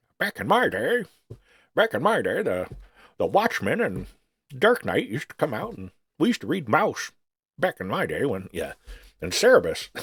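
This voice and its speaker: Someone performs a put-on character voice at a moderate pace, with long, frequent pauses. The sound is dry and close, with no echo. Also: man. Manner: nostalgic, grumbling.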